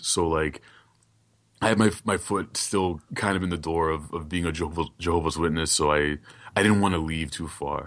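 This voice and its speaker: In an American accent, the voice moves at a moderate pace with fairly even intonation against a quiet background. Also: man. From Brooklyn, New York. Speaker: illustrator and podcaster. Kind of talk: casual interview chat.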